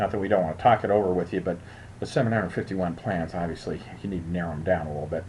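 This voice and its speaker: With a very deep, low pitch and ordinary pitch variation, a man speaks somewhat breathily at a very fast pace. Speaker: insurance agent. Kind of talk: screen-share tutorial. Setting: screen recording. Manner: casual, halting with fillers.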